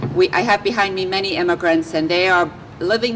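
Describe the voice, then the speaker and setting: A woman's fairly low voice amid noticeable background noise. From England. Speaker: city politician. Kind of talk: press conference speech.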